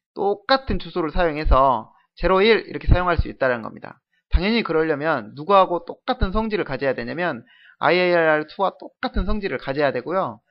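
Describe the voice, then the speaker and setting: A man's high-pitched, lively intonation at a fairly quick pace. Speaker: programming lecturer. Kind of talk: lecture.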